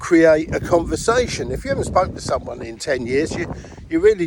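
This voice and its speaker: This is a man with a fairly high pitch and a British accent. Noticeable background noise sits behind him. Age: 60s. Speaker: network marketing distributor. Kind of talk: casual tutorial.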